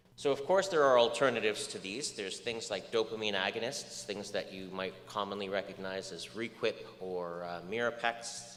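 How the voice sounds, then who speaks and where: Delivered at a moderate pace with ordinary pitch variation, the speech carries audible room echo. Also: man. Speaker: research scientist lecturer. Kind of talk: lecture.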